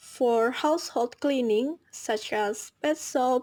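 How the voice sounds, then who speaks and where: A woman with an Indonesian accent, high in pitch, at a very slow pace with ordinary pitch variation, in a very clean recording with a silent background. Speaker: university student. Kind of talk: class presentation video.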